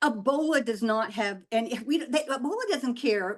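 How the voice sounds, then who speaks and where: A woman's animated tone at a moderate pace. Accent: American. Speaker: former ambassador. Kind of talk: webinar discussion. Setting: video call.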